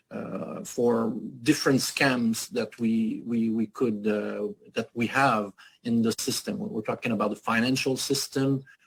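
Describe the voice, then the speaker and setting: A man with a French accent speaks at a fairly slow pace, his medium-pitched voice keeping a fairly even intonation. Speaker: activist foundation leader. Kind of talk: panel interview. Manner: halting, many hesitations.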